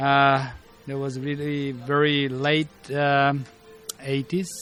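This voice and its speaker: Over music in the background, a man with a Bulgarian accent speaks very slowly in a fairly high, monotone voice with flat intonation. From Bulgaria, Sofia. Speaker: martial arts master. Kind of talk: interview.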